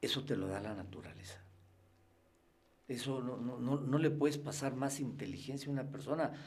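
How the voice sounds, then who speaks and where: A somewhat breathy speaker with a Mexican accent talks at a moderate pace, with ordinary pitch variation. Long, frequent pauses break up the speech, and room echo is audible. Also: man, fairly high pitch for a man. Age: 60s. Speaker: freemason guest. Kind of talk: interview conversation.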